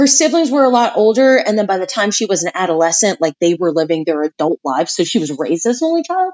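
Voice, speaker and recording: A woman speaks loud and very fast at a medium pitch. Her pitch swings very widely. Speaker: podcast co-host. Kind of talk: casual chat.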